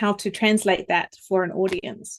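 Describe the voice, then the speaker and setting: A woman with a New Zealand accent at a fairly slow pace. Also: dry, close sound with no echo, quiet background. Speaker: vocal coach. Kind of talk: interview.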